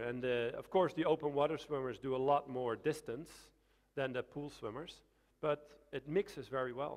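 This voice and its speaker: A man speaks with a Dutch accent. His pace is moderate. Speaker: swimming coach. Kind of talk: Q&A after a lecture. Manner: halting.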